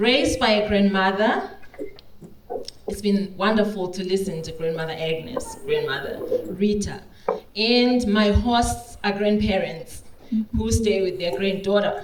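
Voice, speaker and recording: A woman at a medium pitch speaks at a fairly slow pace with ordinary pitch variation and long, frequent pauses. Noticeable background noise and audible room echo are present. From Zimbabwe, Victoria Falls. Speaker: regenerative agriculture practitioner. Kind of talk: conference talk.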